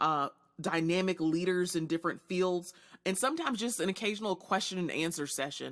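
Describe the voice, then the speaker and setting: An animated tone at a fairly quick pace. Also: woman. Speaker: podcast host and leadership strategist. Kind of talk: solo podcast monologue. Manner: fast.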